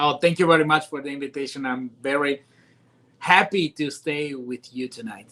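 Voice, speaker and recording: In an Italian accent, a man with a fairly high pitch and a bright, sharp tone talks at a moderate pace, with ordinary pitch variation and big swings in loudness. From Italy. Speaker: news anchor. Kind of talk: interview. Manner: halting.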